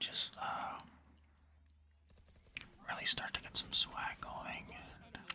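A soft-spoken man whispers at a very slow pace. Light background noise is present. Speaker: gaming streamer. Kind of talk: casual gameplay commentary. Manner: soft whispered ASMR narration. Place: home room.

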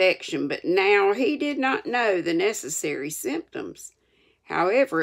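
Here we have an unforced reading voice. Behind it, the background stays quiet.

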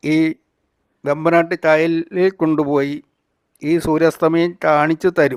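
In a dry, close recording with no echo, a man talks with a high pitch. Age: 60s. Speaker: travel vlogger. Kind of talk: vlog narration. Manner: halting, with frequent pauses.

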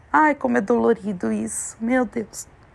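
A woman speaks in an animated tone. Her pace is fairly slow. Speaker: vlogger. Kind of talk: casual vlog talk.

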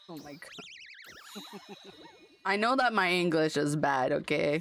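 A woman with a fairly low pitch speaks at a very slow pace with lively intonation and big swings in loudness, the sound dry with no echo over light background noise. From French Canada. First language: French. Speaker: video game streamer; game streamer. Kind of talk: casual chat; casual gaming stream chat.

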